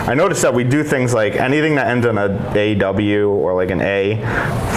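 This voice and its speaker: A man with an American accent talks at a fairly low pitch with ordinary pitch variation. Noticeable background noise runs underneath. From New York.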